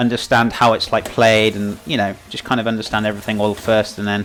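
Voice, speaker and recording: A man with a Welsh accent speaks at a fairly quick pace in a monotone, flat intonation and medium pitch. Noticeable background noise runs behind him. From Wales. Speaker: cooking streamer. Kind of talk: live stream cooking chat. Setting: live stream. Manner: casual, hesitant with many fillers.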